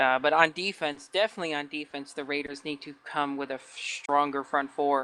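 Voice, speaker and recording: A fairly quick pace with hardly any pauses. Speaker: sports commentator. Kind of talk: live commentary.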